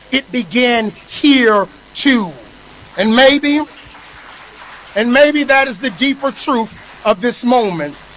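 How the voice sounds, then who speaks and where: A man's extremely high-pitched voice at a very slow pace, with ordinary pitch variation, long, frequent pauses, and noticeable background noise. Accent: American. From United States. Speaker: executive director of an advocacy organisation. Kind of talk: ceremonial speech. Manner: formal.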